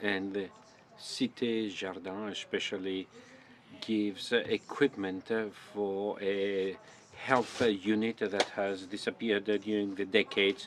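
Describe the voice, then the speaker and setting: At a fairly slow pace, a man talks at a fairly low pitch in a monotone, flat intonation. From northern France (Nord-Pas-de-Calais). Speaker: symposium organizer. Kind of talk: closing summary talk. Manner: halting, many filler sounds.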